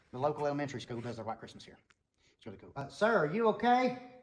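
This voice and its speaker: A fairly high-pitched male voice with vocal fry and very wide pitch swings. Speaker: building owner and former student. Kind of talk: guided tour.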